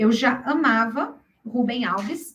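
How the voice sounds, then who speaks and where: A woman speaks in an animated way with lively intonation. Her tone is bright and sharp. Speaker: workshop speaker, health professional. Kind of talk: workshop presentation.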